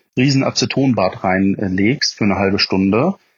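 At a fairly slow pace, a man speaks in an ordinary speaking voice, his pitch showing ordinary pitch variation. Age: 20s. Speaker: motorcycle hobbyist. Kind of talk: casual chat.

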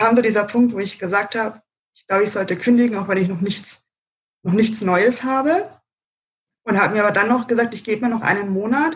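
A woman's fairly high-pitched voice at a very fast pace, with long, frequent pauses, big swings in loudness and ordinary pitch variation. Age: 30s. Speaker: self-employed virtual assistant. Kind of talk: interview. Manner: hesitant, many filler sounds.

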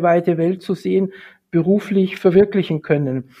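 Fairly even intonation marks this speech, delivered at a moderate pace. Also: man. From Munich, Bavaria. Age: 50s. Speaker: golf industry association director. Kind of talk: interview.

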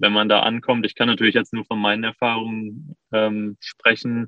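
A man's voice at a medium pitch. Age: 20s. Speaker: interview guest sharing personal experience. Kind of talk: casual interview.

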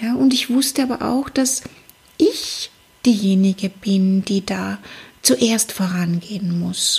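A woman's very slow, lively-intoned speech in a medium pitch, with long, frequent pauses. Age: 40s. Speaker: psychologist and life coach, podcast host. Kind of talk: solo motivational podcast monologue.

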